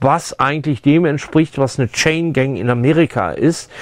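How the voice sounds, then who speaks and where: Speaking at a moderate pace in a normal speaking voice, a man uses a fairly high pitch with ordinary pitch variation. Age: 60s. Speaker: sound engineer, foley artist. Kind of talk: tutorial. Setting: studio. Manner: casual, with fillers.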